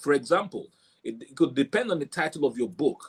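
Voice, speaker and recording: Here a man talks with lively intonation at a fairly high pitch. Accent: Nigerian. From southeast Nigeria, Igbo. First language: Igbo. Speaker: author and book marketing coach. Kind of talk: interview about book marketing.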